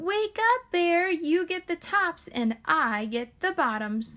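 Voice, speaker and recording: A squeaky, put-on character voice swings very widely in pitch. It moves at a fairly slow pace. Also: woman, extremely high pitch for a woman. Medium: read story. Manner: smooth, persuasive.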